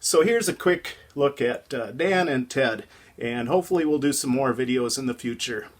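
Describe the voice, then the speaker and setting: Speaking at a moderate pace with a fairly high pitch, a man with an Upper Midwest accent uses lively intonation. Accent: Upper Midwest American. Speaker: ham radio hobbyist vlogger. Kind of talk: casual vlog narration.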